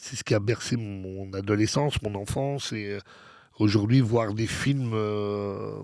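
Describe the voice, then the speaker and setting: A man's fairly low voice at a very slow pace, fairly even in intonation, on a very clean recording with a silent background. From Belgium. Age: 50s. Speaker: DJ. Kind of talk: interview. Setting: studio. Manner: halting, many fillers.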